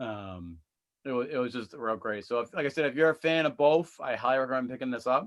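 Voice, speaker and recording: A man's medium-pitched voice at a very fast pace, with ordinary pitch variation and a quiet background. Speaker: comic book reviewer. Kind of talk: casual review chat.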